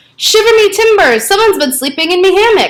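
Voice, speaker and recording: A woman's put-on character voice at an extremely high pitch and a very fast pace. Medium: read story. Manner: booming, blustering.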